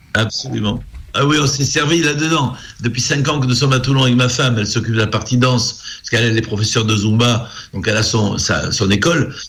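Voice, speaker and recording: A man talks at a very fast pace in a medium pitch. His pitch varies in an ordinary way, and audible room echo surrounds the voice. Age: 70s. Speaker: singer. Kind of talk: interview. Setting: live show broadcast.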